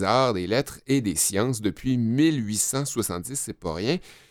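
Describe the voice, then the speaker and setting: On a very clean, silent recording, a man speaks at a fairly slow pace and medium pitch with lively intonation. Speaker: podcast co-host. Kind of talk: informative segment; casual chat. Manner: calm.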